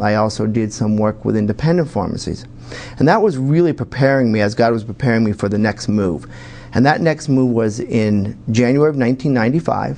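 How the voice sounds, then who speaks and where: A man with a northeastern Pennsylvania accent talks at a fairly quick pace with ordinary pitch variation. Noticeable background noise sits behind him. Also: medium pitch for a man. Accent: northeastern Pennsylvania American. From northeastern Pennsylvania, Wilkes-Barre. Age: 50s. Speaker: pharmacist and political candidate. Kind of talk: TV interview. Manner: halting.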